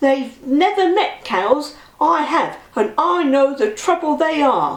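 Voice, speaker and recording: Using a put-on character voice, a woman talks at a fairly slow pace with a high pitch. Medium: read story.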